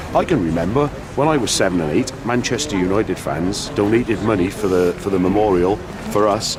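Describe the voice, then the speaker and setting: Music plays in the background as a man talks at a fairly quick pace. His pitch varies in an ordinary way. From Wales. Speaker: football supporter. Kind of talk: interview. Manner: halting.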